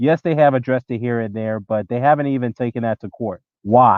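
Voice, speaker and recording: A man talks in a normal speaking voice at a moderate pace, with ordinary pitch variation. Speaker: boxing commentator YouTuber. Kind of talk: live stream commentary reading chat. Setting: live stream. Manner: casual, conversational.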